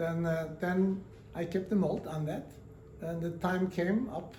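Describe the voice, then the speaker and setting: A high-pitched man at a very slow pace, monotone and flat in intonation, with audible room echo. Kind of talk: interview storytelling. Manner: halting, many fillers.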